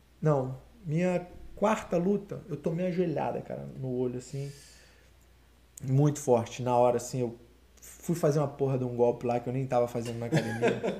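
In a Carioca accent, a man with a dark, mellow, somewhat breathy tone speaks at a moderate pace with ordinary pitch variation and long, frequent pauses. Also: medium pitch for a man. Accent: carioca Brazilian Portuguese. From Rio de Janeiro, Campo Grande (Zona Oeste). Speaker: MMA fighter. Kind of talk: casual interview. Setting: live podcast studio.

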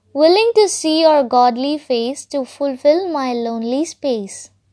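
A woman with a dark, mellow tone speaks at a very slow pace. Her pitch varies in an ordinary way over a quiet background. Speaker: podcaster and amateur poet. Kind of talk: poem performed, read aloud as a rhyming love letter. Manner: earnest, gently lilting, rhythmic, sing-song cadence; hesitant, halting and shy.

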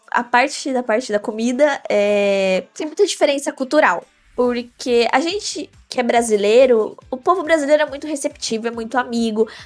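A woman's high voice with lively intonation, music in the background. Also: moderate pace. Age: 20s. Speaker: medical student and gaming influencer. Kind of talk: interview.

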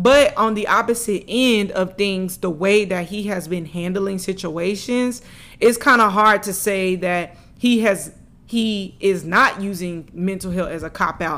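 A woman speaks at a medium pitch. Her pace is fairly slow, and her pitch varies in an ordinary way. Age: 20s. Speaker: sports podcast host. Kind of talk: solo sports commentary podcast. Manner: animated.

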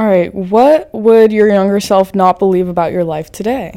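A woman speaks with a dark, mellow tone. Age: 20s. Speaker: podcast host. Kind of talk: casual chat. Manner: animated.

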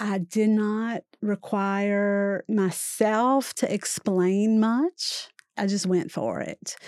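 Recorded dry and close with no echo and a silent background on a very clean recording, a woman speaks at a medium pitch in a dark, mellow tone with ordinary pitch variation. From Louisiana. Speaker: author. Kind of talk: interview. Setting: studio.

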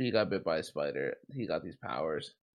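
A man with an American accent talks at a moderate pace, showing vocal fry. The recording is very clean, with a silent background. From New Jersey. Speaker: podcast co-host. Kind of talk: casual chat.

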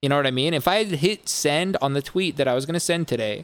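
Speaking at a fairly quick pace, a man with an ordinary speaking voice has a fairly high pitch and ordinary pitch variation, recorded very cleanly with a silent background. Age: 20s. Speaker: music producer and DJ hosting a podcast. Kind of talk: casual chat. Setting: live-streamed podcast.

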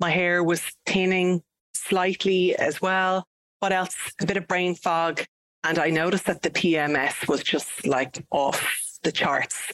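A woman with an Irish accent speaks at a fairly slow pace in a fairly low pitch, with fairly even intonation and very even loudness. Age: 40s. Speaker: podcast co-host. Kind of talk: casual chat.

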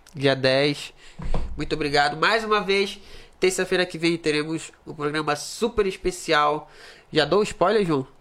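A man with a fairly high pitch talks at a fairly slow pace in an animated, bright and sharp tone with ordinary pitch variation. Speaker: podcast host. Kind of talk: casual chat.

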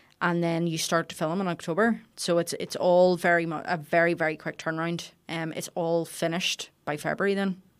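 Fairly quick, monotone, flat delivery from a woman with a fairly low pitch and a Belfast accent, hardly any pauses, on a very clean recording with a silent background. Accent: Belfast Northern Irish. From Northern Ireland, Belfast. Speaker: chef and restaurant owner. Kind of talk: interview conversation.

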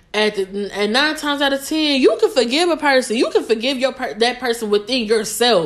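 Animated in tone with lively intonation, a woman talks at a fairly quick pace and a high pitch. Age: 20s. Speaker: podcast host; college student. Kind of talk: casual monologue.

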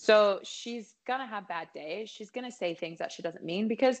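A woman with an American accent, medium-pitched, at a moderate pace against a quiet background, a plain, everyday voice. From Colorado. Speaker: singer-songwriter. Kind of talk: casual chat. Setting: video call.

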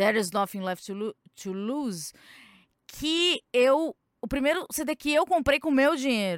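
In a very clean recording with a silent background and a dry, close sound with no echo, a woman with a high pitch speaks in an animated tone, with very wide pitch swings and long, frequent pauses. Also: fairly slow pace. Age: 30s. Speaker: podcast host. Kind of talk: casual chat.

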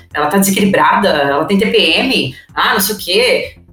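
Lively intonation at a fairly slow pace, with audible room echo and music in the background. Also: woman. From São Paulo city, Brazil. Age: 40s. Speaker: tech company director. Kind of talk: interview conversation.

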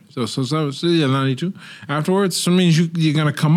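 A man with a fairly high voice rattles along at a very fast pace, with noticeable background noise behind him. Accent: American. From Pittsburgh, US. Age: 30s. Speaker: former boxer and author. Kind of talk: casual chat.

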